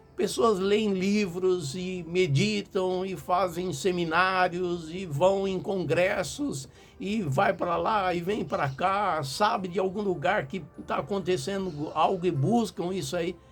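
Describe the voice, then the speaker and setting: A man with a high pitch speaks at a very slow pace with ordinary pitch variation. Audible room echo and music in the background are present. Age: 60s. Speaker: pastor. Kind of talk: sermon.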